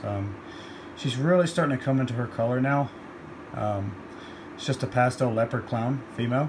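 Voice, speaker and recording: Against noticeable background noise, a man with a medium-pitched voice talks at a moderate pace with ordinary pitch variation and long, frequent pauses. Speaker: ball python breeder. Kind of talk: casual talk to camera. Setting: indoors with fan noise in background.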